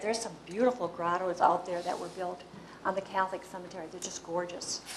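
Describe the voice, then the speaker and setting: A woman with a Wisconsin accent talks at a very fast pace and medium pitch. Her intonation stays fairly even over noticeable background noise. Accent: Upper Midwest (Wisconsin). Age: 70s. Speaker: local historian. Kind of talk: Q&A after a talk. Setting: public meeting with audience. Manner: informal, hesitant.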